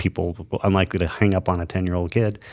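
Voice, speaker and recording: A man with an American accent speaks at a moderate pace in a very deep, low pitch. The recording is very clean, with a silent background. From Arizona, US (small town). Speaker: podcast co-host, former congressional staffer. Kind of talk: casual chat. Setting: studio, in person.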